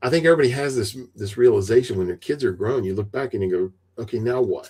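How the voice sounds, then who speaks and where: A man speaks at a fairly quick pace with an East Tennessee accent, his medium-pitched voice dark, mellow and somewhat breathy. His pitch varies in an ordinary way. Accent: East Tennessee Southern US. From US South. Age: 60s. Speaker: retired IT veteran and author. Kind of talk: podcast interview.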